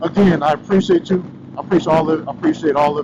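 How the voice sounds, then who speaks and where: Speech comes at a very fast pace with ordinary pitch variation. Noticeable background noise runs underneath. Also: man. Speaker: motorcycle vlogger. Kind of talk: vlog. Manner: loud.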